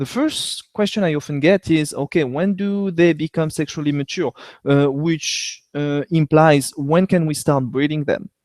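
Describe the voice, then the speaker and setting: A man speaks fairly slowly in a fairly high voice with a French accent. The recording is very clean with a silent background, and the sound is dry and close with no echo. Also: ordinary pitch variation. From France. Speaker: veterinarian. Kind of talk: educational webcast lecture. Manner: hesitant with fillers.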